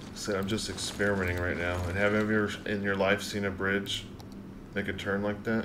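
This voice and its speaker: Over noticeable background noise, a man with a fairly low pitch talks at a fairly quick pace in a flat monotone. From US South, South Carolina. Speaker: gaming streamer. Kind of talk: live stream gameplay commentary. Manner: casual, thinking aloud. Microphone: studio mic.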